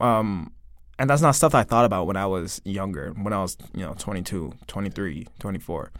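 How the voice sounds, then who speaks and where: A man talks with a fairly low pitch and lively intonation. He has a plain, everyday voice. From Canada (Toronto). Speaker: musician, returning podcast guest. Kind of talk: casual chat.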